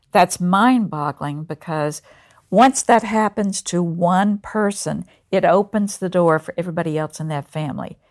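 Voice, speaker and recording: At a moderate pace, a woman speaks with a fairly low pitch and ordinary pitch variation. The sound is dry and close with no echo, in a very clean recording with a silent background. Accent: Southern US. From North Carolina. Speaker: college president. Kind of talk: interview.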